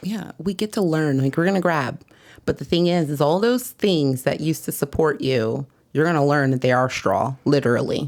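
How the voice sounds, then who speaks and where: On a very clean recording with a silent background, a woman speaks at a moderate pace with lively intonation and very even loudness. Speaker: women's ministry leader and wellness teacher. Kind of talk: casual chat. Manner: halting.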